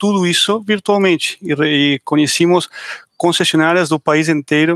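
Speaking in an Argentine accent, a man with a fairly high pitch keeps a moderate pace and fairly even intonation, recorded with a dry, close sound and no echo. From Argentina. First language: Spanish (speaking Portuguese). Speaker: tech startup founder and CEO. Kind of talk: podcast panel discussion.

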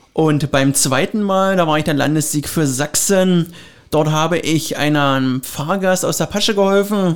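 A man's high-pitched voice at a fairly slow pace. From Brandenburg, Lower Lusatia (Finsterwalde). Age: 30s. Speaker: train conductor. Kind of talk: casual interview. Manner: animated.

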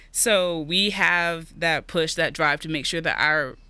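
On a very clean recording with a silent background, a woman with an American accent speaks at a fairly slow pace. Her very deep, low pitch comes with a bright, sharp tone and monotone, flat intonation. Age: young (19). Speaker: college student. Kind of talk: interview podcast.

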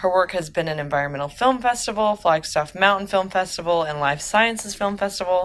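In a Southern US accent, a woman speaks at medium pitch and a moderate pace with ordinary pitch variation. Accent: Southern US (Oklahoma). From Oklahoma, US. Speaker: podcast host. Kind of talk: scripted intro; interview.

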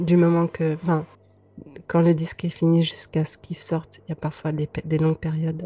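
Her tone dark and mellow, a woman speaks at a fairly low pitch and moderate pace, somewhat breathy and with monotone, flat intonation. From Lebanon (Beirut). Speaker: singer-songwriter. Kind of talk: interview. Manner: hesitant, many fillers.

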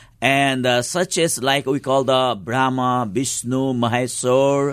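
Against a quiet background, a man with a Nepali accent talks at a fairly slow pace in a fairly high pitch. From eastern Nepal, rural. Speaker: pastor. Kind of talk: interview. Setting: studio. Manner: halting.

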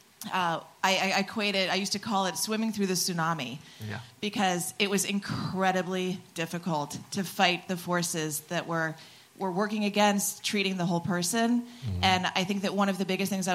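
With fairly even intonation, a normal speaking voice goes along at a fairly quick pace. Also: woman. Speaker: audience questioner in healthcare. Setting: audience Q&A.

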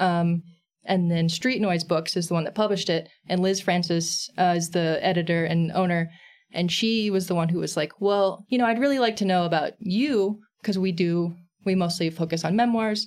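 A woman with an American accent speaks in an unremarkable speaking voice, fairly low in pitch, at a moderate pace with very even loudness and ordinary pitch variation, on a very clean recording with a silent background. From Texas, San Antonio. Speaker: comics creator and illustrator. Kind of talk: casual interview chat.

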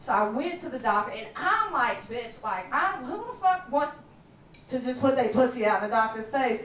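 High-pitched, lively speech from a woman in a Southern US accent, with noticeable background noise and audible room echo. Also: moderate pace. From Kentucky. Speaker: comedian. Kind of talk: stand-up. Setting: stage with audience.

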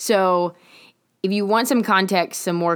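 The recording is very clean, with a silent background. A woman with a plain, everyday voice speaks at a moderate pace with ordinary pitch variation. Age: 20s. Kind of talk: casual faith talk monologue.

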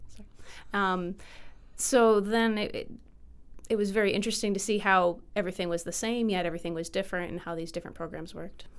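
Speaking very fast with an American accent, a woman uses a medium pitch and fairly even intonation, with big swings in loudness. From Michigan, US. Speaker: filmmaker. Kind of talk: interview.

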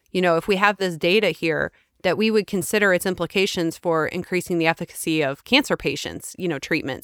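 Recorded dry and close with no echo, a woman at medium pitch uses a plain, everyday voice with ordinary pitch variation and a fairly quick pace. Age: 40s. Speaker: podcast co-host, author and nonprofit founder. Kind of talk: interview; scripted introduction.

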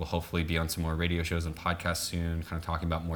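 With an American accent, this man speaks at a very deep, low pitch. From New Orleans, US South. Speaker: activist. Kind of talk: casual interview.

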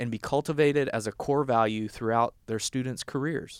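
A man speaks with a Southern US accent and ordinary pitch variation. The sound is dry and close, with no echo. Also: very clean recording, silent background. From US South, southern Arkansas. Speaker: podcast host, health policy director. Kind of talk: interview podcast.

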